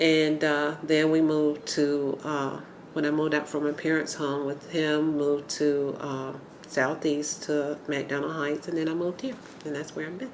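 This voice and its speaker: A woman speaks with a very deep, low pitch and a flat, monotone delivery in an American accent. Room echo is audible, and background noise is noticeable. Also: moderate pace. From Atlanta, Georgia (US South). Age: 60s. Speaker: urban homesteader, interviewee. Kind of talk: oral history interview.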